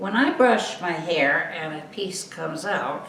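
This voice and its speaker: Noticeable background noise is present throughout. A woman talks amid audible room echo. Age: 70s. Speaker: wig customer. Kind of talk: casual chat.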